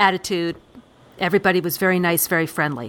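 Her intonation fairly even and her pitch fairly low, a woman speaks in a very clean recording with a silent background. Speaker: podcast host. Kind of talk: casual chat.

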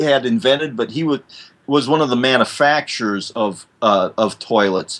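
A fairly high-pitched man with a Midwestern US accent, moderate pace and very wide pitch swings. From US Midwest. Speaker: fill-in co-host. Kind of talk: casual chat.

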